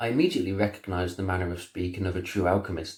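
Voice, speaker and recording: A man's very deep, low, somewhat breathy voice in a monotone, flat delivery, on a very clean recording with a silent background. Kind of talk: audiobook-style story reading. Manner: narrating in a calm, measured way.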